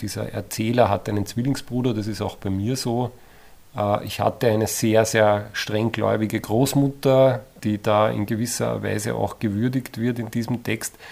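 Monotone and flat, a man talks at a moderate pace in a fairly low voice, captured in a very clean recording with a silent background. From Upper Austria, Eferding. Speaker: author. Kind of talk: interview.

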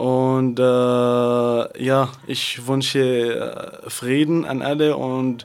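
A man speaks with an Arabic accent at a medium pitch. His intonation is monotone and flat. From Syria, Damascus. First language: Arabic (speaking German). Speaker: refugee, radio guest. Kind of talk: radio interview. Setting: radio studio.

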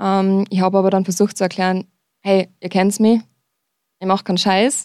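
A woman is heard on a very clean recording with a silent background. The sound is dry and close with no echo. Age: young. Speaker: climate activist. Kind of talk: radio interview. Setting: studio.

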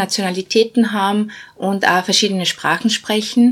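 Her voice is medium in pitch, and her intonation is monotone and flat. The woman is heard on a very clean recording with a silent background. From Bosnia. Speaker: non-profit managing director. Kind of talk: interview.

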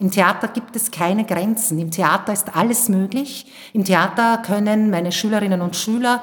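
Woman at a medium pitch with ordinary pitch variation, a moderate pace, and an enthusiastic tone. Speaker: theater teacher.

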